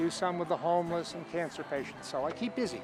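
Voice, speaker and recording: A man speaks with music in the background. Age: 80s+. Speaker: pastel artist. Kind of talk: casual talk about his art. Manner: halting.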